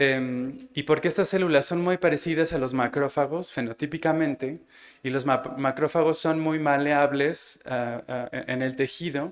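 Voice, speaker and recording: The man's fairly high pitch follows a fairly even intonation. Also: fairly slow pace. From Mexico. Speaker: immunologist. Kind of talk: scientific lecture. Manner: slow, halting with many repetitions.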